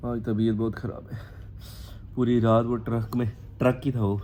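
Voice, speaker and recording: The man speaks with a monotone, flat intonation. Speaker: vlogger and stage performer. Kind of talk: casual travel vlog.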